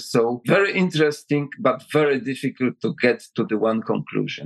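With a Polish accent, a man talks at a moderate pace with hardly any pauses, in a dry, close sound with no echo. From Poland. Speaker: retired general and defense adviser. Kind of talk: interview answers.

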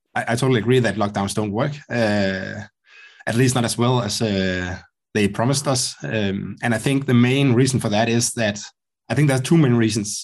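A man with a Danish accent speaks over a quiet background. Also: medium pitch for a man, ordinary pitch variation, moderate pace. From Denmark. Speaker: podcast host. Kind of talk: interview conversation. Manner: halting.

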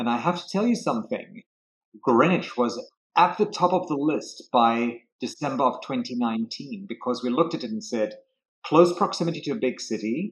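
With a South African accent, the speaker keeps a moderate pace while the pitch swings very widely. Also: man. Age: 50s. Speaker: real estate broker. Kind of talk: interview. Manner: charismatic.

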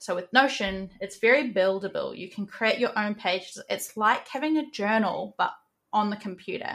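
A woman with a New Zealand accent talks at a moderate pace, her pitch fairly high and its variation ordinary. The recording is very clean, with a silent background. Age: 20s. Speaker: NFT project manager and moderator. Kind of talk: interview.

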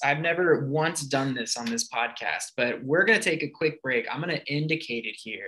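A man talks at a moderate pace in a fairly high pitch. He has a plain, everyday voice with lively intonation. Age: 30s. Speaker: podcast host for a film festival. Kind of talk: casual interview.

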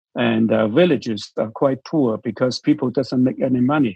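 A man with a Chinese accent, medium pitch and ordinary pitch variation. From China. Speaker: missionary church leader. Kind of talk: interview.

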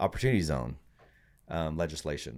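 Very deep, low male voice with vocal fry, lively intonation and a fairly quick pace, in a very clean recording with a silent background. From Puerto Rico. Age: 40s. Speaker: investor and board member. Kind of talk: interview.

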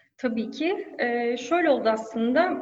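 A woman's high voice with audible room echo. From Turkey, Antalya. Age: 30s. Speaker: e-commerce manager. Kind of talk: interview. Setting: office, remote call. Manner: hesitant fillers.

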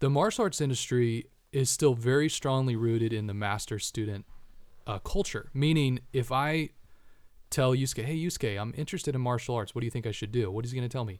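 This man has an unremarkable speaking voice at a medium pitch. He talks fairly quickly with ordinary pitch variation. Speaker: martial arts instructor. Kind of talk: casual chat. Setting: studio.

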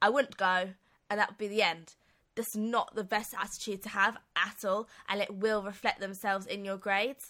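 In a British accent, a woman speaks at a moderate pace with a bright, sharp tone and fairly even intonation. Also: medium pitch for a woman. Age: 20s. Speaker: podcast co-host. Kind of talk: casual chat. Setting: studio.

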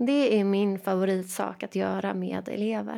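Very slow speech is captured in a very clean recording against a silent background. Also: woman. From Sweden, Jönköping. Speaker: teacher and education coach. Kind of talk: solo podcast monologue.

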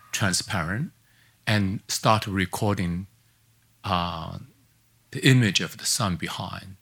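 With a Chinese accent and lively intonation, the speaker goes at a fairly slow pace in a very clean recording with a silent background. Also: man. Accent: Mandarin Chinese. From China. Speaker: artist. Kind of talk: lecture. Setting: stage with audience. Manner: halting.

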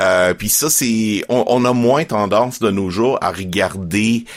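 A man's fairly low voice at a very slow pace, with ordinary pitch variation, in a very clean recording with a silent background. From Quebec, Estrie. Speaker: Bible narrator and podcast co-producer. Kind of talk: interview.

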